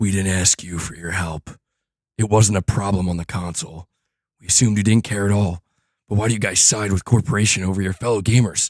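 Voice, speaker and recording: Using a raspy put-on character voice, a man talks at a very fast pace with a fairly low pitch and fairly even intonation, in a dry, close sound with no echo. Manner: intense, serious, dramatic.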